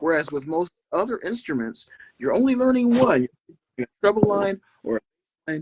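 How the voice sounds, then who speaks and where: A man with an American accent speaks at a fairly slow pace with lively intonation. The sound is dry and close, with no echo. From Philadelphia, Pennsylvania. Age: 70s. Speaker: orchestra conductor. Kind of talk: interview. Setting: live podcast. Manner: explanatory, teacher-like.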